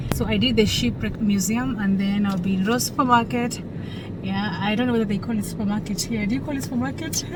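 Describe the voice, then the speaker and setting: Against noticeable background noise and audible room echo, a woman with an African accent speaks at a very fast pace with lively intonation and a medium pitch. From Kenya. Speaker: vlogger, cruise ship crew member. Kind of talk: casual travel vlog chat.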